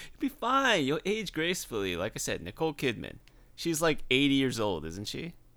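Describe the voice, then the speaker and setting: On a very clean recording with a silent background, a man with a fairly high pitch and a bright, sharp tone speaks at a moderate pace, showing vocal fry, very wide pitch swings and big swings in loudness. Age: 30s. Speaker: podcast co-host. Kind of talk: casual chat.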